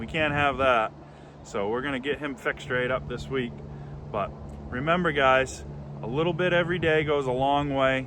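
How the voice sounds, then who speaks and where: A man's fairly high voice at a moderate pace, with fairly even intonation. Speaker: firewood business owner and vlogger. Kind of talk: casual vlog talk to camera. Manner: loud.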